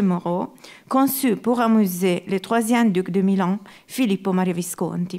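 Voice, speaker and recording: Speech with an Italian accent comes at a fairly slow pace on a very clean recording with a silent background. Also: woman. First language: Italian (speaking French). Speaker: art historian. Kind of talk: lecture. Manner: halting.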